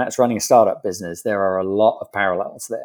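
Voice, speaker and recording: With a British accent, a man speaks in fairly even intonation. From UK. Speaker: indoor farming company founder. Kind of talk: interview.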